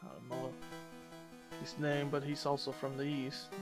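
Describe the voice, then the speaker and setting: A man with a fairly high voice mumbles over music playing in the background. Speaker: gamer doing let's play commentary. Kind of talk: video game walkthrough commentary. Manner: mumbling, slurring, long pauses.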